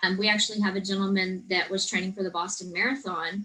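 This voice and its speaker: A woman with an American accent and an unremarkable speaking voice, medium in pitch, with fairly even intonation. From Texas Hill Country. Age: 40s. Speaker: personal trainer and gym owner. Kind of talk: interview.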